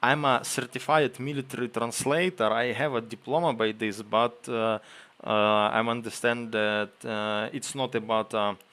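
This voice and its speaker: With a Ukrainian accent, a man speaks at a moderate pace in a medium pitch, using ordinary pitch variation. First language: Ukrainian or Russian. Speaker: streamer, military translator. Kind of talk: live stream chat. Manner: halting.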